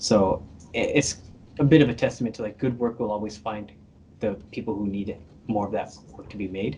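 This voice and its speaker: Fairly low and somewhat breathy, this man's voice has a dark, mellow tone. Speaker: animator. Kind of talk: interview. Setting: podcast interview. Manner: fast; casual, many fillers.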